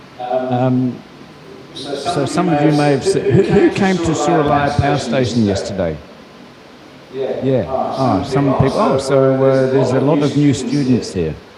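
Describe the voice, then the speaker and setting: A man talks at a fairly slow pace in a fairly high pitch, with ordinary pitch variation. Noticeable background noise and audible room echo surround him. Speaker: university professor. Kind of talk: lecture. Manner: hesitant, many fillers.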